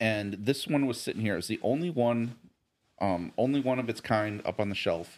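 Speaking with an American accent, a man uses an ordinary speaking voice with ordinary pitch variation at a moderate pace. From US South, near Nashville, Tennessee. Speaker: bourbon enthusiast. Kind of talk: casual chat.

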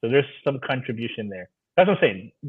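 Speaking at a fairly quick pace, a man uses an unremarkable speaking voice with lively intonation. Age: 30s. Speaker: DACA recipient. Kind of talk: casual chat.

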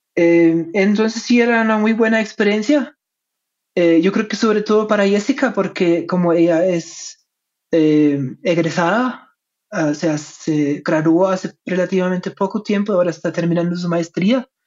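The speech comes at a fairly slow pace with a German accent. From Germany. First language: German (speaking Spanish). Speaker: history professor. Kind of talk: interview. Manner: hesitant, many fillers.

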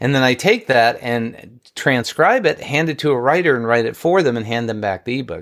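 On a very clean recording with a silent background, a man with an American accent and a plain, everyday voice talks fairly quickly at a medium pitch with ordinary pitch variation. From New York. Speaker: marketing strategist and author. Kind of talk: casual interview chat.

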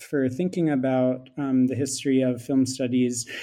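A man's fairly high, dark, mellow voice with a Philadelphia accent and monotone, flat intonation, on a very clean recording with a silent background. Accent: American (Philadelphia area). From US, Philadelphia. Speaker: film studies lecturer. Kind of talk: academic interview.

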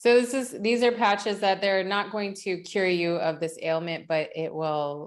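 A woman with a plain, everyday voice and an American accent, medium pitch with ordinary pitch variation, a moderate pace and a quiet background. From West Virginia. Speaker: podcast host and functional medicine practitioner. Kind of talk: casual interview; scripted intro.

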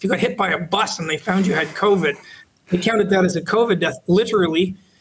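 A man speaks in an animated tone at a fairly quick pace. His pitch varies in an ordinary way. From Canada, Toronto. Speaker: law professor. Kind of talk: interview.

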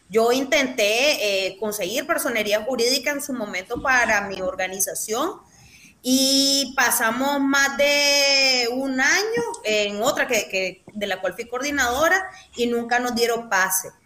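A woman speaks at a high pitch with ordinary pitch variation. She goes very slowly over noticeable background noise. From Nicaragua, León. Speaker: political activist. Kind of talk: interview.

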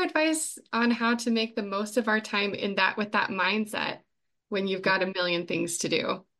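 Against a quiet background, a woman with a normal speaking voice talks at a moderate pace and a fairly high pitch. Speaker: podcast co-host. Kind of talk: interview.

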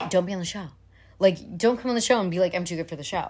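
Lively intonation and an animated tone come through on a very clean recording with a silent background. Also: woman. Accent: American. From US suburbs. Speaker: podcast host. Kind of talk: casual chat.

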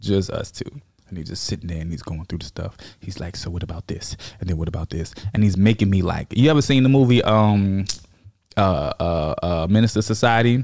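With a fairly low pitch, a man speaks at a fairly quick pace, showing ordinary pitch variation and big swings in loudness. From Virginia, US. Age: 30s. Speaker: comedian and army veteran. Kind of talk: casual chat.

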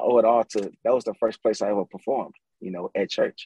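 A man with an ordinary speaking voice and an American accent talks at a fairly quick pace. His pitch is medium, with fairly even intonation. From St. Louis, US Midwest. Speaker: music producer and singer. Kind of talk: casual interview chat.

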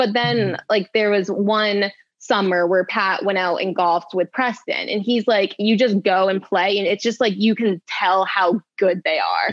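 A plain, everyday voice from a woman with an American accent, medium pitch, fairly even intonation, very even loudness, and a moderate pace. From Maine, US. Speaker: professional runner. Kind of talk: casual chat. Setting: studio.

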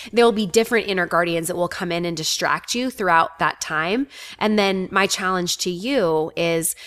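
A woman talks in an ordinary speaking voice, medium in pitch, with ordinary pitch variation. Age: 40s. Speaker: life coach. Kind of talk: interview.

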